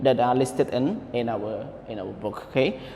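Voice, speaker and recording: Audible room echo surrounds a man speaking with a non-native accent. He keeps a moderate pace. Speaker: English teacher. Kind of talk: online lesson. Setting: recorded online class.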